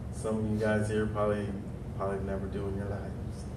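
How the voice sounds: A man with an American accent speaks at a fairly low pitch. Audible room echo surrounds his voice.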